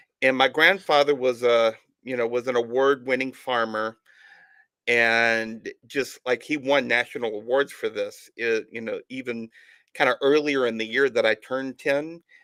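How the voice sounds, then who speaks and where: A man with an American accent speaks at a moderate pace in a bright, sharp tone. The sound is dry and close with no echo, in a very clean recording with a silent background. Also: medium pitch for a man, fairly even intonation. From Alabama, US South (Tuscaloosa). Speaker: author and podcast host. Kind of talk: interview. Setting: live stream.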